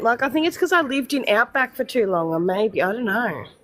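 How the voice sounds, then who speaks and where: A woman with a strong Australian accent speaks at a very fast pace in a high pitch, her voice making very wide pitch swings. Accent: broad Australian. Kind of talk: less proper, rural.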